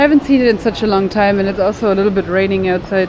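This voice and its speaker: With noticeable background noise and audible room echo, a woman of medium pitch speaks in a German accent. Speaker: travel vlogger. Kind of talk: casual vlog talk to camera. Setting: walking around a shopping mall.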